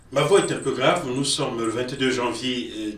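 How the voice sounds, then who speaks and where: Recorded with noticeable background noise and audible room echo, a man talks at a medium pitch. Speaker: football journalist. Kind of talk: news commentary.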